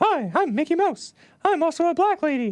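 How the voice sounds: At a moderate pace, a man performs a cartoonish character voice. His pitch is extremely high.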